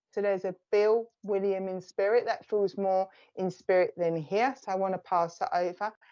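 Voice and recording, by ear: At a moderate pace, a woman with an Essex accent speaks in a dark, mellow tone at medium pitch, her intonation fairly even. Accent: Essex, south-east English.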